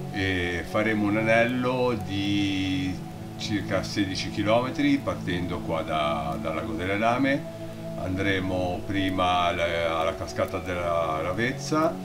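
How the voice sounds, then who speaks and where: A man speaking very slowly, with clear music in the background. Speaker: hiker vlogger. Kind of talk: casual vlog chat. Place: forest. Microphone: phone near.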